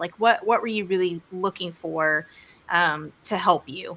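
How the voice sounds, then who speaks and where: A woman speaks with a Texas accent in a bright, sharp tone. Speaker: interview host. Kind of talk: casual interview.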